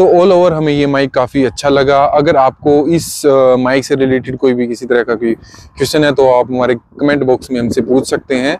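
A man speaks at a moderate pace and medium pitch with fairly even intonation. His tone is slightly mellow, and the sound is dry and close with no echo.

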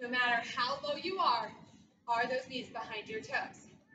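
A woman with a high voice and a bright, sharp, upbeat tone speaks at a fairly slow pace with ordinary pitch variation, over light background noise and audible room echo. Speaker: fitness instructor. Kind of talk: workout class cueing. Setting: video workout. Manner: upbeat, encouraging, rhythmic cueing with countdowns; warm, supportive, reassuring. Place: gym. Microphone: camera far.

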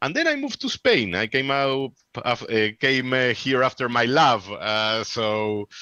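A man with a Peruvian accent talks at a moderate pace in a bright, sharp tone with ordinary pitch variation. The sound is dry with no echo and the background is quiet. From Peru, Lima. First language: Spanish. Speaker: amateur radio presenter; radio presenter. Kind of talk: conference Q&A. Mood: chatty, animated. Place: home room. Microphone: headset.

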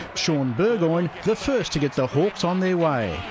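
With an Australian accent, a man speaks at a high pitch over noticeable background noise. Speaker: sports news presenter. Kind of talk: scripted sports news recap voiceover. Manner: brisk, formal, even-paced narration.

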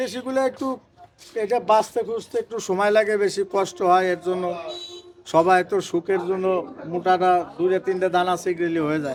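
Noticeable background noise around a man's high voice, its pitch varying in an ordinary way. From Faridpur, Bangladesh. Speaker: onion and garlic trader. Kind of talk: market interview. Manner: colloquial, dialectal.

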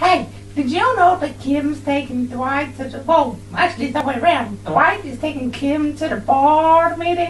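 A cartoonish character voice moves at a moderate pace. Clear background noise runs beneath it. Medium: puppet show. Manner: crude, gleeful, aggressive.

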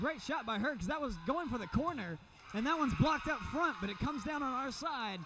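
Raising and projecting his voice, a man talks with noticeable noise behind him. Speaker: volleyball commentator. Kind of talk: live sports commentary, play-by-play. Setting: arena with crowd, courtside.

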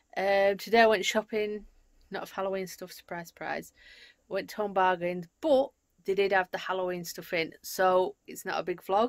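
With a quiet background, a woman talks in fairly even intonation at a moderate speed. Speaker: home vlogger. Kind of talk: casual vlog chat. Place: home room. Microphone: phone near.

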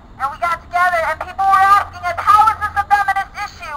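Projected and raised, a woman's voice moves at a moderate pace with ordinary pitch variation. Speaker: speaker. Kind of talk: rally speech. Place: open country. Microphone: camera far.

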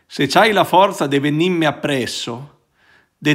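A man talks at a fairly slow pace, and the background is quiet. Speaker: priest. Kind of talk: reading aloud a poem in Roman dialect, then reflective commentary. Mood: warm, smiling. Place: home room. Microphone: phone near.

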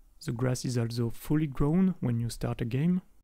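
A man with a French accent speaks at a moderate pace in a dark, mellow tone, his pitch varying in an ordinary way. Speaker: indie game developer. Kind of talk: technical tutorial demo narration. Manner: casual.

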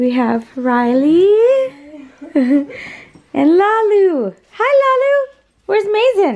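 Against a quiet background, a woman speaks at a very slow pace with an extremely high pitch and very wide pitch swings. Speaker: family vlogger. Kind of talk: casual vlog chat. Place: home room. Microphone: phone near.

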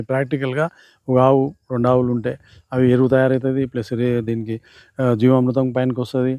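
At a medium pitch, a man speaks in a dark, mellow tone with monotone, flat intonation. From Telangana, Rangareddy district. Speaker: retired official and organic farmer. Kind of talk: farm tour explanation.

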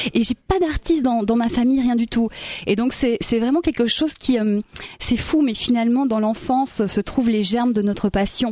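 A woman speaks at a moderate pace with ordinary pitch variation and very even loudness. The sound is dry with no echo. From Belgium (Brussels); Belgium. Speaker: singer and stage performer; interviewee. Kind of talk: radio interview. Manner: animated. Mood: warm, enthusiastic. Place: studio. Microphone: studio mic.

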